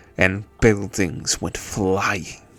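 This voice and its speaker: Faint music plays in the background as a man speaks very slowly in a put-on character voice. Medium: actual play. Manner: measured, manipulative.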